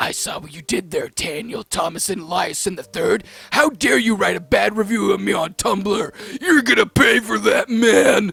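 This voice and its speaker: With a put-on character voice, a man growls at a high pitch and a moderate pace. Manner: spooky, growling; threatening.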